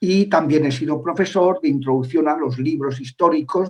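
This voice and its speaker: A somewhat breathy man speaks at a moderate pace. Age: 60s. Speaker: priest and former exorcist. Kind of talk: interview. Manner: halting, many filler sounds.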